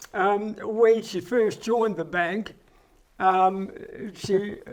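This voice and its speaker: Speaking with an Australian accent, a man goes at a very slow pace. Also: very clean recording, silent background. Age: 80s+. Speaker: interviewee, retired businessman. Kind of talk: casual interview. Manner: halting.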